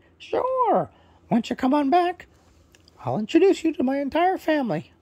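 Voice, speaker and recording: A put-on character voice pitched high. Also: fairly quick pace. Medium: read story. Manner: warm, welcoming.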